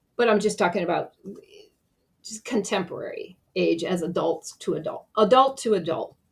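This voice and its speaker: Medium-pitched and somewhat breathy, a woman speaks at a moderate pace with ordinary pitch variation. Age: 70s. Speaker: YouTuber, artist. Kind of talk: casual vlog monologue. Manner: halting, with false starts.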